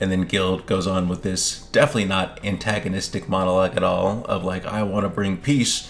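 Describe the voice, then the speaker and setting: Very deep, low male speech amid noticeable background noise. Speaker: gaming YouTuber. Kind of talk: casual commentary video.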